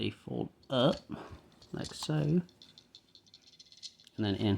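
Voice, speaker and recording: A man speaks very slowly while noticeable background noise plays behind him. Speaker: toy reviewer. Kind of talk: unboxing tutorial. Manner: casual, thinking aloud.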